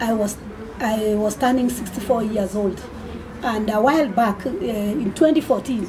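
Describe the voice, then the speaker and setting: A woman's fairly high voice with ordinary pitch variation, amid audible room echo and noticeable background noise. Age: 60s. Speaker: amateur marathon runner and charity fundraiser. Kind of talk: radio interview. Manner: halting, many repetitions.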